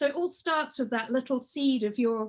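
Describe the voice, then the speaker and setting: In an English accent, a woman speaks at a high pitch with ordinary pitch variation. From England. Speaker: children's book author and illustrator. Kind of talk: workshop presentation. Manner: conversational, with frequent hesitations.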